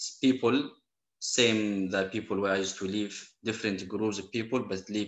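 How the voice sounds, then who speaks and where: Man with a Syrian accent, fairly low in pitch, monotone and flat in intonation. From Syria, Aleppo. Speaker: Quran and Arabic teacher, refugee. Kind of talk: interview conversation. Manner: halting.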